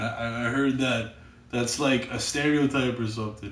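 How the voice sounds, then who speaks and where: Noticeable background noise and audible room echo surround this recording. A man speaks at a fairly quick pace with a Canadian accent. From Canada. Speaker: gamer streaming live chat. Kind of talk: casual chat. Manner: halting, repeats words.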